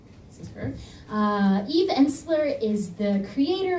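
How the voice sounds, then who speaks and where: A woman with lively intonation is heard with audible room echo and noticeable background noise. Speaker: nonprofit organizer. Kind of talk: presentation talk. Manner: fast when nervous.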